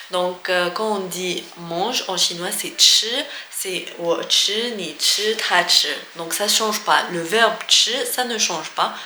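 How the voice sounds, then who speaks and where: Very slow speech with ordinary pitch variation, audible room echo and noticeable background noise. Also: woman, medium pitch for a woman. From Algeria. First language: Algerian Arabic and French (speaking French). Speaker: language teacher vlogger. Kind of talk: casual tutorial. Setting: office. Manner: hesitant with many fillers.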